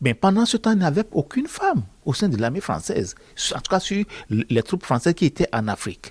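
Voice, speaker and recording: A man with a high voice speaks at a fairly quick pace, his pitch swinging very widely. The sound is dry and close, with no echo. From Benin. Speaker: author and accountant. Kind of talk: interview monologue. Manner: hesitant, with fillers and repetitions.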